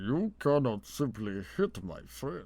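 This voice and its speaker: A man puts on a character voice, pitched medium and delivered very slowly. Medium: read story. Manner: blunt, threatening.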